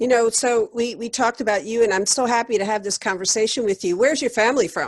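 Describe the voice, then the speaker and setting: A woman with a New York accent speaks at a very fast pace in a fairly high pitch, with fairly even intonation and hardly any pauses. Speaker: interview host. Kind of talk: interview.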